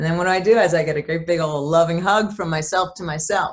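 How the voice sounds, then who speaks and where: Somewhat breathy and fairly low in pitch, a woman talks at a very fast pace. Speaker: therapist. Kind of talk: casual chat.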